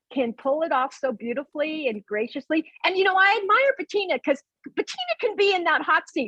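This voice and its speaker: Recorded dry and close with no echo, a woman with an extremely high pitch uses a raised, projected voice, an energetic, intense tone and very wide pitch swings. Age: 60s. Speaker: event planner. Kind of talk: casual chat.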